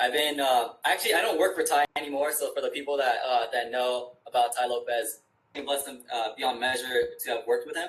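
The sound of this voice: Amid audible room echo, a man with an American accent talks at a fairly quick pace in a medium pitch, his tone fairly bright and his pitch variation ordinary.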